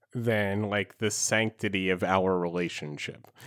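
A plain, everyday voice from a man, fairly low-pitched, fairly slow, and with fairly even intonation. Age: 30s. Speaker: podcast host. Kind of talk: casual chat.

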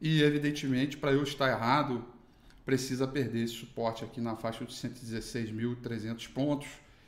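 A man talks at a moderate pace with monotone, flat intonation, and audible room echo is present. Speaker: market analyst. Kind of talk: morning market commentary.

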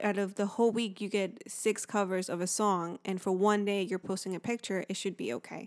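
A woman with an ordinary speaking voice talks at a fairly quick pace and medium pitch, recorded dry and close with no echo, very clean, and with a silent background. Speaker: podcast co-host. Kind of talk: casual chat. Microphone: new handheld mic.

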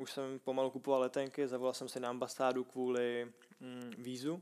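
Speaking at a very fast pace, a man with a medium-pitched voice talks with a Czech accent. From Czech Republic, Prague. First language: Czech (speaking Slovak). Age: 20s. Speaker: Thai boxing fighter. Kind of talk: casual interview.

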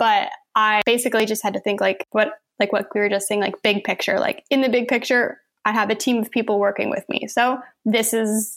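A woman's fairly high, flat, monotone voice at a fairly quick pace. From Saint John, New Brunswick, Canada. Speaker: photographer and artist. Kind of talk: casual chat.

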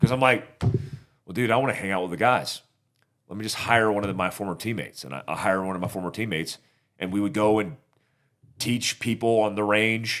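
A man with a normal speaking voice at a fairly low pitch, fairly quick pace and ordinary pitch variation, on a very clean recording with a silent background. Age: 40s. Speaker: army veteran, self-defense instructor. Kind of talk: casual interview chat.

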